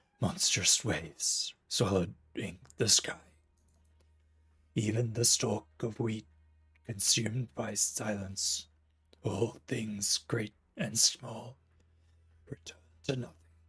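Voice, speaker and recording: A man's put-on character voice at medium pitch, fairly slow, with long, frequent pauses. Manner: dramatic.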